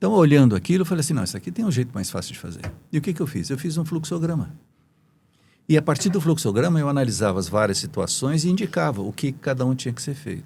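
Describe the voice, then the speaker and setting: Over a silent background in a very clean recording, a man talks at a very fast pace in a fairly high pitch with very wide pitch swings, vocal fry and a dark, mellow tone. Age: 70s. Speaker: engineer and business mentor. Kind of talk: podcast interview. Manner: hesitant, many fillers.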